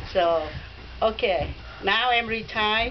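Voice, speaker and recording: Noticeable background noise and audible room echo fill the clip. A woman talks with ordinary pitch variation. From Vietnam. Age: 60s. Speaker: immigrant mother speaking to a class. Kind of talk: personal story told to a class. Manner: halting.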